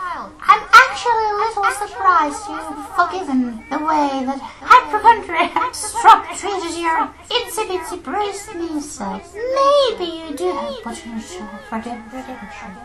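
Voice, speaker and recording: A put-on character voice, extremely high-pitched and swinging very widely in pitch, moves at a fairly slow pace with hardly any pauses over loud background noise. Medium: machinima. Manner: sarcastic, nagging.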